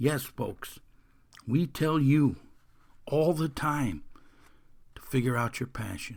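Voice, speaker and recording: At a very slow pace with long, frequent pauses, a man with a fairly high pitch speaks using ordinary pitch variation. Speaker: podcast host and mental toughness coach. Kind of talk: motivational podcast talk. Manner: energetic, enthusiastic.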